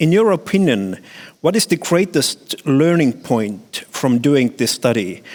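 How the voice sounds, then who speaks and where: Very wide pitch swings at a fairly slow pace, in an Estonian accent. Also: man. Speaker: conference moderator. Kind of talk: moderating Q&A.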